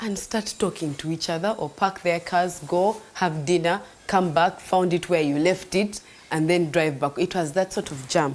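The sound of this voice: At a moderate pace, a woman speaks in a fairly low pitch with ordinary pitch variation.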